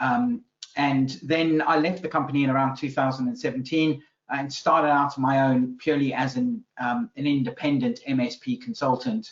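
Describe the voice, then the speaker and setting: A man speaks in a South African accent at a moderate pace. His pitch is fairly high and his intonation lively. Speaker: business consultant. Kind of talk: interview podcast. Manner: hesitant, many fillers.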